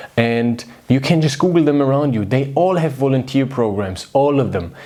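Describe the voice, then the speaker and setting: A fairly quick-paced man with a non-native accent, a warm tone and lively intonation, over noticeable background noise. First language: not English. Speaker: video host. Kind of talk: casual direct-to-camera talk. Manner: warm, conversational.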